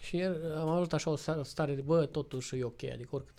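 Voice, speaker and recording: Very fast and somewhat breathy, a man speaks at a fairly high pitch in a dark, mellow tone with ordinary pitch variation. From Romania. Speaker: motorcycle traveler. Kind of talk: casual interview chat. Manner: animated.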